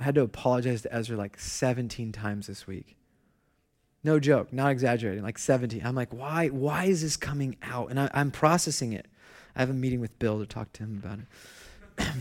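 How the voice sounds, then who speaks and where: Using an ordinary speaking voice, a man at medium pitch talks at a fairly quick pace with ordinary pitch variation and big swings in loudness, on a very clean recording with a silent background. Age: 30s. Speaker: pastor. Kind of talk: sermon. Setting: church.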